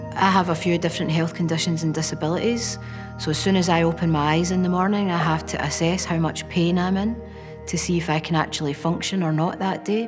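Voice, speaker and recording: With a Glaswegian accent, a woman speaks at a moderate pace in a fairly low pitch with ordinary pitch variation while clear music plays in the background. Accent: Glaswegian Scottish. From Scotland, Glasgow. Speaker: documentary interviewee; interviewee. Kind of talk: personal testimony. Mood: quiet, reflective, serious. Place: classroom. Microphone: lapel.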